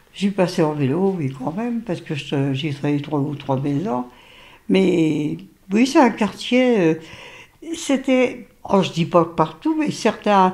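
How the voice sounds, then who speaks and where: This woman's voice sits fairly low and swings very widely in pitch. She speaks at a very slow pace. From Lorraine, France (Nancy). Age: 80s+. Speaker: grandmother interviewed about her city. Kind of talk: casual family interview.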